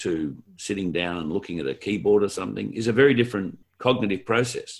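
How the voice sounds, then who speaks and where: A man with an Australian accent and vocal fry, fairly low in pitch, at a moderate pace with lively intonation. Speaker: podcast co-host, education consultant. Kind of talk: podcast conversation.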